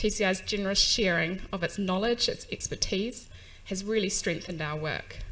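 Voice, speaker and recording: A woman with a New Zealand accent at a moderate pace. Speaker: UN agency staff, conference speaker. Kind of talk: conference speech. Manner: hesitant fillers, um and uh.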